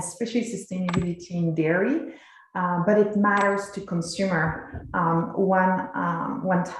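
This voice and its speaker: A woman with a slight French accent, medium pitch and a moderate pace, amid noticeable background noise and audible room echo. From France, rural village. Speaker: cheesemaker and dairy company representative. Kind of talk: presentation to a legislative committee. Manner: hesitant, many fillers.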